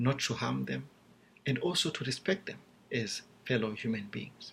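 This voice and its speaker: Speaking at a fairly slow pace, a man with a Zimbabwean accent has a medium pitch. His tone is bright and sharp, with vocal fry. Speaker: seminary student. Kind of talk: class video presentation. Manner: formal.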